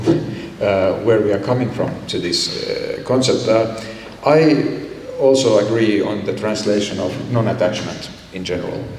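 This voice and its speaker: A man's fairly low voice at a fairly slow pace, with ordinary pitch variation, audible room echo and noticeable background noise. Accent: Finnish. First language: Finnish. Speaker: yoga teacher. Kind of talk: panel discussion.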